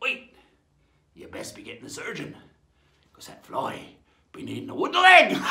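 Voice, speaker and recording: A man's put-on character voice, raspy and extremely high-pitched, at a moderate pace with long, frequent pauses. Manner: joking, storytelling.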